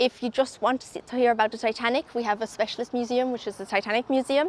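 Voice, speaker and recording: A woman talks at a very fast pace in a high voice with fairly even intonation. The sound is dry and close, with no echo. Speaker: tour ambassador. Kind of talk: casual interview.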